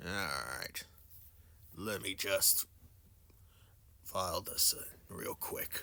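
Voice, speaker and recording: A man puts on a character voice, raspy and extremely high-pitched. He talks very slowly over light background noise. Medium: actual play. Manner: curt, dismissive.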